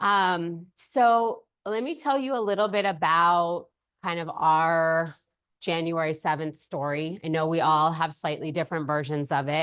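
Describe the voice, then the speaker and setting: Against a quiet background, a woman with an American accent talks at a fairly slow pace in a fairly low pitch, with ordinary pitch variation. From Altadena, Southern California. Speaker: lawyer. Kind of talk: presentation. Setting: room with small audience, no mic. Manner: loud.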